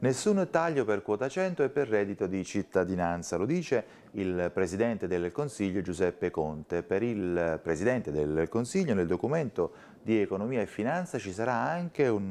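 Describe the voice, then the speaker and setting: A man's fairly low voice at a moderate pace, with very wide pitch swings. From Italy. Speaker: news presenter. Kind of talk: news reading. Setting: studio. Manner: formal, brisk and even-paced, neutral broadcast delivery; clear, measured, with little emotional colouring. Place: studio. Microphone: lapel.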